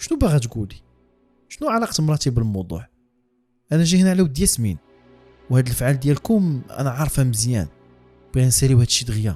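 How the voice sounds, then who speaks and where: Over music in the background, a man of medium pitch speaks at a fairly quick pace with very wide pitch swings and long, frequent pauses. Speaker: horror storyteller. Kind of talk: read horror story in Moroccan Darija.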